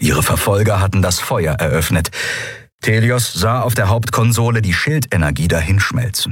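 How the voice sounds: A natural reading voice, its pitch moving in ordinary ways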